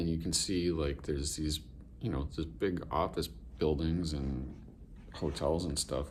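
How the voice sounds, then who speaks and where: In a room with audible echo, a man with vocal fry and a very deep, low pitch talks at a fairly slow pace with ordinary pitch variation. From New England. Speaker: vlogger. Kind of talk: casual vlog. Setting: hotel room, then outdoors downtown. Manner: casual, halting with fillers.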